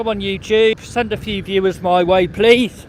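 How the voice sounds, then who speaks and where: A man with a West Midlands accent shouts at a fairly slow pace, his intonation fairly even. Noticeable background noise runs behind him. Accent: English Midlands (Coventry). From England, Coventry. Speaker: vlogger. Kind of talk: live stream walking commentary. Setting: outdoors on a beach. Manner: loud, shouting over wind.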